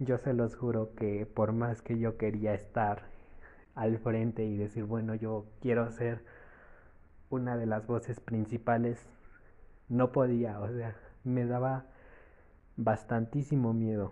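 A man at a very slow pace with long, frequent pauses, medium pitch and monotone, flat intonation. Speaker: podcaster. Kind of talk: casual monologue.

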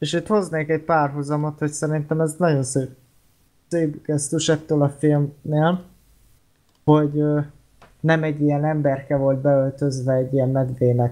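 The speaker moves at a moderate pace, broken by long, frequent pauses. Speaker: podcast co-host, film discussion. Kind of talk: casual chat. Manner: halting, many fillers.

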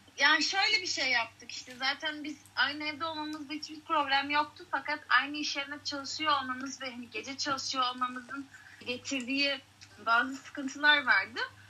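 A high-pitched woman speaks in a raised, projected voice at a moderate pace, her intonation fairly even but her loudness swinging widely, over noticeable background noise. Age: 20s. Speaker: out-of-work bartender and acting student. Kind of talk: casual chat.

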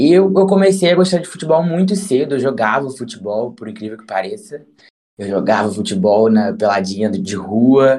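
A man of medium pitch speaks with a dark, mellow tone at a moderate pace, his pitch swinging very widely and his loudness shifting in big swings. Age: 20s. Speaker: journalist. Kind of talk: casual interview chat.

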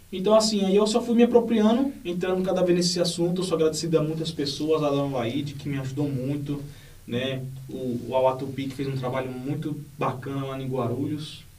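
A fairly high-pitched man with lively intonation at a fairly quick pace, amid noticeable background noise and audible room echo. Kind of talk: interview.

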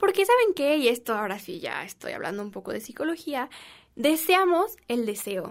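A woman with a Mexican accent talks at a moderate pace in a high pitch with very wide pitch swings. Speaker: podcast host. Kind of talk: casual monologue. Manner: animated.

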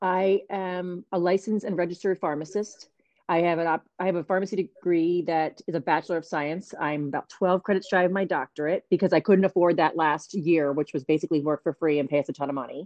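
This is an ordinary speaking voice with an American accent. The intonation is fairly even. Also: woman, fairly low pitch for a woman. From New Jersey. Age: 40s. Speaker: pharmacist and network marketing entrepreneur. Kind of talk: casual interview.

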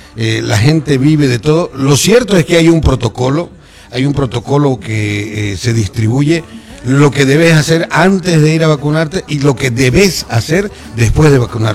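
Over noticeable background noise, a man speaks at a moderate pace, with fairly high pitch and lively intonation. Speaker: football pundit. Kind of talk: casual radio chat. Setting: radio studio.

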